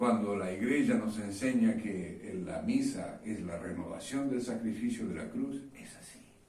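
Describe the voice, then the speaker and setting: Over noticeable background noise, a man speaks at a fairly slow pace with big swings in loudness. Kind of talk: sermon. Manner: hesitant, many fillers.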